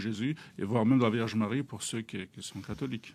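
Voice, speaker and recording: A man with an Algerian accent speaks at a fairly quick pace and medium pitch with ordinary pitch variation, in a very clean recording with a silent background. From Algeria, Kabylie. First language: Kabyle (speaking French). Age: young. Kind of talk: interview testimony. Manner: hesitant, many fillers.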